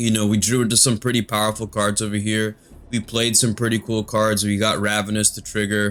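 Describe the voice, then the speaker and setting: Fairly low-pitched male voice, monotone and flat in intonation, at a fairly quick pace. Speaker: magic card game youtuber. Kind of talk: gameplay commentary.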